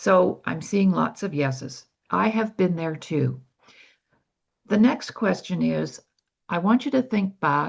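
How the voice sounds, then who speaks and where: Very wide pitch swings and vocal fry mark this voice with a Canadian accent, which moves at a very slow pace with long, frequent pauses. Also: woman, fairly low pitch for a woman. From Canada. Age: 70s. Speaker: personal development speaker. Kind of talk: online workshop talk.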